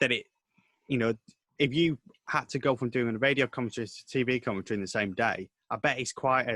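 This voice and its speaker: This man talks at a very fast pace in a medium pitch, his tone bright and sharp, his pitch variation ordinary, and the sound dry and close with no echo. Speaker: sports commentator and news reporter. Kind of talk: casual interview. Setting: video call. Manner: halting, repeats words.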